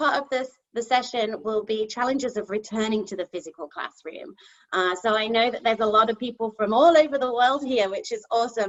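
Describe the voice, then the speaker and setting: With a British accent, this woman's fairly high voice moves at a moderate pace and shows ordinary pitch variation. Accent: English (UK). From England, Nottingham (East Midlands). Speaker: kindergarten teacher. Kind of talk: conference presentation. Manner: hesitant, many fillers.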